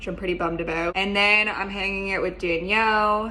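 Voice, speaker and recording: Talking at a moderate pace, a woman uses a medium pitch and monotone, flat intonation. Audible room echo and noticeable background noise accompany her voice. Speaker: vlogger. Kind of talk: casual vlog. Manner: casual, many fillers.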